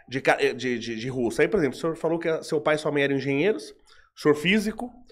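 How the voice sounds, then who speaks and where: A man talks at a very fast pace in a fairly high pitch. His pitch swings very widely. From Brazil. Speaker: podcast host, metallurgy engineer; podcast host. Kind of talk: podcast interview. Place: studio. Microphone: studio mic.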